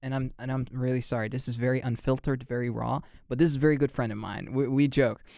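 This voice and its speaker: Speaking fairly quickly in a dark, mellow tone, a man with an American accent has a medium pitch, heard on a very clean recording with a silent background. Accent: sounds American. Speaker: podcast host. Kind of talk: casual chat. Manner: halting, many restarts.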